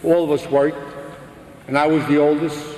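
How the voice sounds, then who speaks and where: With a Brooklyn accent, a man speaks in a monotone, flat intonation at a fairly high pitch, with audible room echo and noticeable background noise. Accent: Brooklyn New York. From US Northeast, Brooklyn, New York. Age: 60s. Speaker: religious speaker giving testimony. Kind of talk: testimony.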